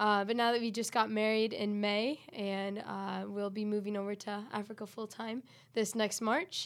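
An American accent, with monotone, flat intonation at a moderate pace. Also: woman, fairly high pitch for a woman. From West Michigan, US Midwest. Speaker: missionary. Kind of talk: podcast interview.

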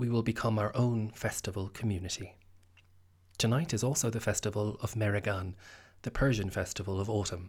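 A man with an Irish accent speaks fairly quickly in a fairly low, somewhat breathy voice with fairly even intonation, on a very clean recording with a silent background. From Ireland. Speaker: podcast host and theatre maker. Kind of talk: scripted narration. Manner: formal.

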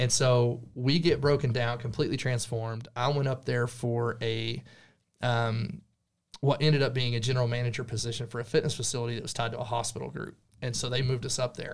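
A man with an American accent speaks fairly quickly at a medium pitch in a somewhat breathy voice. His intonation is flat and monotone, and the recording is very clean with a silent background. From Texas Panhandle. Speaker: real estate agent. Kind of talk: casual chat.

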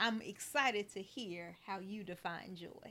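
A woman talks very slowly in a bright, sharp tone. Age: 40s. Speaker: podcast host. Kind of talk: casual interview chat.

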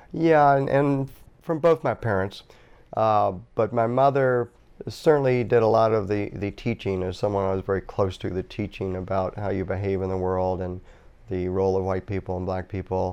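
With an American accent, a man speaks at a moderate pace in a fairly low pitch, showing ordinary pitch variation in a normal speaking voice. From US South, Norfolk, Virginia. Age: 60s. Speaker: author. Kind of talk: interview. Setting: studio.

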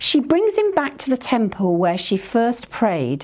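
A woman speaks with a warm tone. Her pace is fairly slow. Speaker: preacher. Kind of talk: sermon. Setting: church. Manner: warm, earnest.

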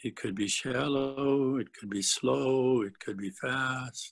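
A man talks at a fairly slow pace in an ordinary speaking voice, medium in pitch with ordinary pitch variation. The recording is very clean, with a silent background. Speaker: Satir model trainer. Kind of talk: guided meditation. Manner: slow, calm, gentle; soft-spoken, measured.

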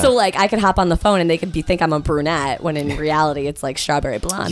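A woman's very deep, low voice, very fast and lively in intonation, over noticeable background noise. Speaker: radio host.

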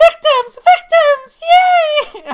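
A squeaky put-on character voice at an extremely high pitch swings very widely up and down. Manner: excited, gleeful.

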